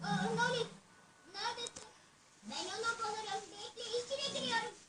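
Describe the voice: This is a cartoonish character voice, squeaky and extremely high in pitch. It moves at a moderate pace.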